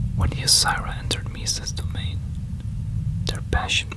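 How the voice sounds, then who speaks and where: Whispering with noticeable background noise. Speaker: ASMR creator. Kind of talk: whispered story reading. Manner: soft-spoken.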